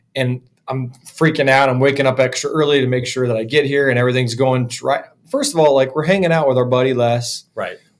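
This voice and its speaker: At a fairly quick pace, a man speaks at medium pitch with fairly even intonation. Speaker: podcast host. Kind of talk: casual interview. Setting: in-person in a small echoey room. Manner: casual. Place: studio. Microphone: studio mic.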